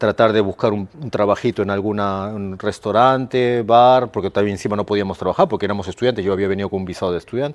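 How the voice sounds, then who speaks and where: Fairly even intonation carries the very fast delivery. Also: man, fairly low pitch for a man, hardly any pauses. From Peru (Lima). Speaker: sports coach for children with ADHD. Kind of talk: casual chat.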